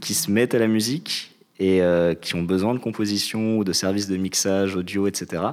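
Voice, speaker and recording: A man's unremarkable speaking voice, fairly low in pitch, fairly even in intonation, at a moderate pace. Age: 20s. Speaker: civic service volunteer. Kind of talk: casual chat.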